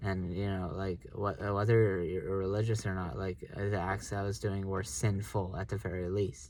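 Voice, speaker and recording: On a very clean recording with a silent background, a man speaks in a very deep, low pitch with fairly even intonation. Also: moderate pace. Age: 30s. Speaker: author talking about his memoir. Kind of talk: personal monologue. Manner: hesitant, many fillers.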